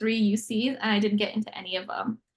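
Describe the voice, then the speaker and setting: Talking at a very fast pace, a woman has a somewhat breathy, fairly high-pitched voice. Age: 20s. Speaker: university student. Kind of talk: casual interview.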